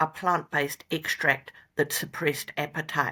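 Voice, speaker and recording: In a New Zealand accent, a woman speaks with a very deep, low pitch and a bright, sharp tone at a moderate pace. Her intonation is monotone and flat, and the recording is very clean with a silent background. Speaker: company founder and veterinarian. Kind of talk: interview.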